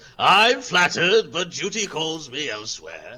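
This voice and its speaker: The speaker uses a put-on character voice at a moderate pace, with very wide pitch swings. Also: man, high pitch for a man. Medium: actual play. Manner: pompous, blunt.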